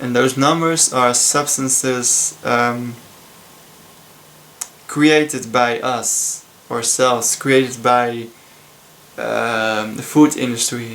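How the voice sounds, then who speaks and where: A man with a Dutch accent at a medium pitch, very slow and monotone, with long, frequent pauses and noticeable background noise. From Netherlands. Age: 20s. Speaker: student. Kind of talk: casual talk to camera. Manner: hesitant, many filler sounds.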